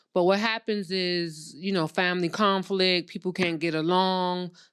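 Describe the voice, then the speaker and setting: In a very clean recording with a silent background, a woman with a fairly low pitch talks at a moderate pace in a normal speaking voice. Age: 40s. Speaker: credit and funding expert, real estate investor. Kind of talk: casual interview.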